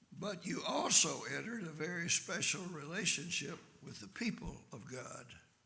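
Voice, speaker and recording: A man speaks with a high pitch and lively intonation. His tone is bright and sharp, with audible room echo. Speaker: visiting preacher. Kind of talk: sermon.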